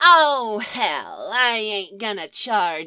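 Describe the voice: This is plain reading aloud, with lively intonation throughout.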